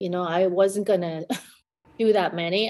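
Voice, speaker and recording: A woman with an American accent speaks in an unremarkable speaking voice. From South Korea, then US from youth. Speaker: concert pianist and piano professor. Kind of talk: interview conversation.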